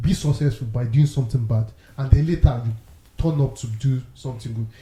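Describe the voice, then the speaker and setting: Here a man talks at a fairly quick pace in a medium pitch, with ordinary pitch variation. His loudness swings widely, and he has a normal speaking voice. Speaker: podcast co-host. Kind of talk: casual chat.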